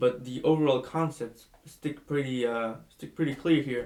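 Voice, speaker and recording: A man with a Spanish accent, fairly high in pitch, at a fairly slow pace. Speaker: book reviewer vlogger. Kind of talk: casual book review monologue. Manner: halting, many fillers and restarts.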